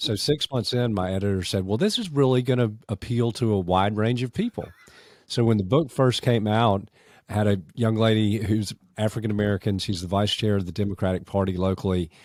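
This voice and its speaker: On a very clean recording with a silent background, a man with a Southern US accent speaks at a fairly low pitch with ordinary pitch variation. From US South. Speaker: podcast host, former mayor. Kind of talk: interview conversation.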